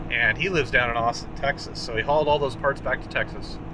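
Noticeable background noise sits behind a man whose sound is dry, with no echo. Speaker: vintage truck channel host. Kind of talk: casual vlog chat. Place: car. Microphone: phone near.

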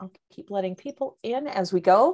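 Against a quiet background, the speaker moves at a moderate pace with very wide pitch swings. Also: woman. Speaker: webinar host. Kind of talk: webinar introduction. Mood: friendly, upbeat. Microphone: video call.

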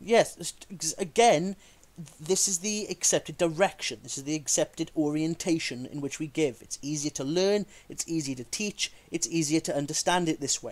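In a Welsh accent, a man speaks at a moderate pace with a fairly high pitch and ordinary pitch variation. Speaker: video creator rebutting flat earth claims. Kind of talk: casual video rant and rebuttal.

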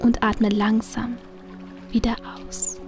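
Over music in the background, a woman with a fairly high pitch speaks at a very slow pace in a calm, soothing tone with fairly even intonation. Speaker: audiobook narrator / hypnosis reader. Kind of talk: hypnotic guided relaxation, sleep dream journey. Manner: slow, calm, soothing.

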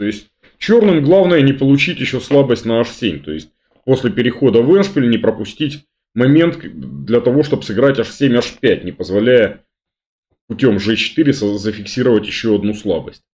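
The man keeps a moderate pace. He leaves long, frequent pauses. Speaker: chess grandmaster commentator. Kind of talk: commentary. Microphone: webcam.

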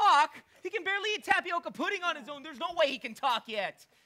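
In a put-on character voice, the speaker goes fast with lively intonation and a bright, sharp tone.

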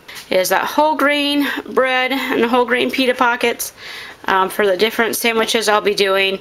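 A woman speaks at a fairly high pitch. Her pace is fairly slow. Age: 40s. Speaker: homestead gardening vlogger. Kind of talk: casual chat; tutorial. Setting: living room. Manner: hesitant, many filler words.

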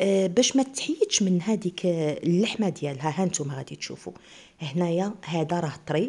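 A woman speaks in an eastern Moroccan accent at a fairly slow pace, her tone dark and mellow. She is somewhat breathy, with lively intonation. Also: fairly low pitch for a woman. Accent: eastern Moroccan Arabic (Oujda). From eastern Morocco, Oujda; Morocco. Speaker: cooking channel host. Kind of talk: cooking tutorial. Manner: casual, chatty. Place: home room. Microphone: phone near.

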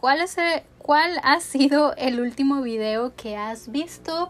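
Speaking at a very slow pace is a woman. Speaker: beauty youtuber. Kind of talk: casual chat while doing makeup. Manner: monotone. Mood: relaxed, chatty. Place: home room.

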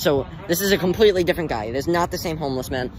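A man at a very fast pace, in a dry sound with no echo over noticeable background noise. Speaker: vlogger. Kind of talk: casual vlog chat. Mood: joking, playful. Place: street. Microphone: phone near.

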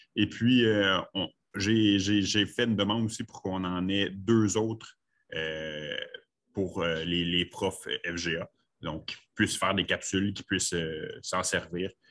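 Very slow and fairly low-pitched, a man speaks with long, frequent pauses. His intonation stays fairly even. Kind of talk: online meeting discussion.

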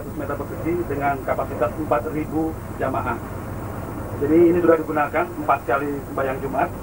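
A man speaks at a moderate pace with monotone, flat intonation. Noticeable background noise runs underneath. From Indonesia. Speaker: project manager briefing university leaders. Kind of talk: institutional site briefing, like 1980s film narration. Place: bus.

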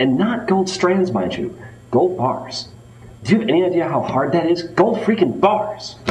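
Music in the background, with audible room echo. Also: man. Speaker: interview candidate. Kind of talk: acted interview answer. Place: meeting room. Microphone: camera far.

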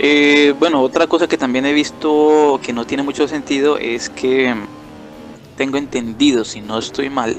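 Over music in the background, a man talks at a fairly slow pace with a fairly high pitch. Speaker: gaming YouTuber. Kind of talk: casual gameplay commentary. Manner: hesitant, improvised.

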